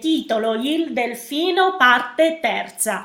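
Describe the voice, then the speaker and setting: With lively intonation, this woman talks at a very slow pace. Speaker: pastor. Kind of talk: sermon. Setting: online video livestream.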